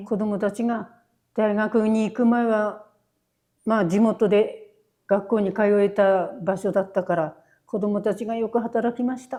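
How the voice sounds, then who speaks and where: A woman speaks with a dark, mellow tone at a fairly high pitch. Her delivery is a flat monotone at a fairly slow pace. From Japan, Fukushima. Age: 80s+. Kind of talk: interview answer.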